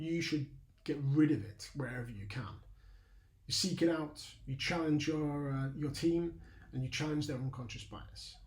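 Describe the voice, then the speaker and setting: Speaking in a Lancashire accent, a man talks at a moderate pace in a fairly high, somewhat breathy voice. His pitch varies in an ordinary way, and the room echo is audible. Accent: Burnley accent, noticeable. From northern England, Burnley, Lancashire. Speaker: leadership mentor, ex-army. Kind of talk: lecture. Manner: halting, many fillers.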